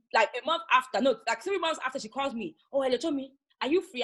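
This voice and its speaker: A woman's high-pitched, raised and projected voice with a bright, sharp tone, an animated delivery, lively intonation and a very fast pace. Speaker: makeup artist. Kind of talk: casual interview.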